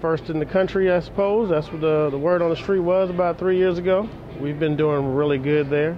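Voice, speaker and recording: Music plays in the background as a man with a high-pitched voice talks at a fairly quick pace with fairly even intonation. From US Pacific Northwest, Seattle. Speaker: chef. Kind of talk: interview. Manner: halting.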